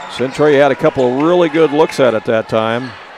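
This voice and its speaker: Noticeable background noise accompanies a man speaking with ordinary pitch variation. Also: dry sound with no echo. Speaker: basketball play-by-play announcer. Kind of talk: live sports commentary, play-by-play call. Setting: courtside broadcast at a basketball game. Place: hall.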